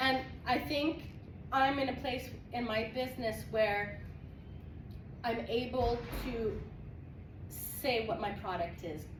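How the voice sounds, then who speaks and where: The speech moves at a very slow pace with long, frequent pauses and ordinary pitch variation, and audible room echo fills the recording. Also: woman, high pitch for a woman. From Quebec / French Canada. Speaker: entrepreneur, guest speaker. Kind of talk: talk to a college class. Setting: college classroom. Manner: animated, talks with hands; fluent, links with 'and' instead of fillers.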